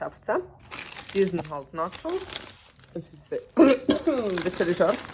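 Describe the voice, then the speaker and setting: A woman speaks at a medium pitch with a Swiss accent and lively intonation. Her pace is very slow, with long, frequent pauses over noticeable background noise. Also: big swings in loudness. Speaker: vlogger. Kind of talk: casual travel vlog. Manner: animated.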